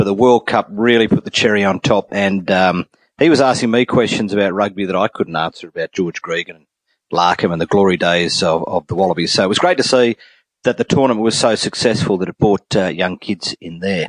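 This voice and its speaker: A man with an Australian accent speaks at a fairly quick pace and a fairly low pitch, his loudness swinging widely. The sound is dry and close with no echo, and the background is quiet. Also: ordinary pitch variation. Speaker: sports podcast host. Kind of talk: casual chat. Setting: remote call.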